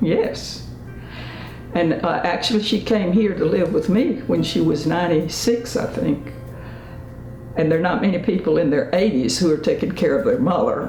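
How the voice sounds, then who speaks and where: A woman's fairly low voice stays at a very even loudness, heard with audible room echo and noticeable background noise. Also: lively intonation, moderate pace. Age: 80s+. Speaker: interviewee. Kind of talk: interview.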